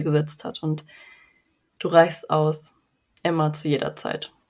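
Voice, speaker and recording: With a calm, soothing tone, a woman speaks at a fairly slow pace in a very deep, low pitch. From western Germany (North Rhine-Westphalia). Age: 20s. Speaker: eating disorder recovery coach. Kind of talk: interview.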